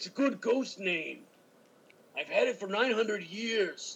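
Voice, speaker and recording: A put-on character voice at a fairly high pitch moves along at a fairly slow pace. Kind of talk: improvised comedy. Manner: grouchy, bickering, cantankerous.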